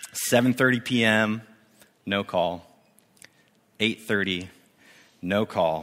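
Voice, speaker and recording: A man speaks with a West Coast accent. His pace is very slow, broken by long, frequent pauses. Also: fairly low pitch for a man, ordinary pitch variation. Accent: general American (West Coast). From US Pacific Northwest, Spokane, Washington. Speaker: youth ministry director, guest preacher. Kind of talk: sermon. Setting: church service with congregation. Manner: casual, with fillers.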